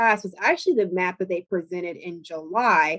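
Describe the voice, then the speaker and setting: Here is a woman with an unremarkable speaking voice. Her pitch sits in the medium range and varies in an ordinary way. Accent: American. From US South, Georgia. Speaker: voting rights advocacy director. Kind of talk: interview.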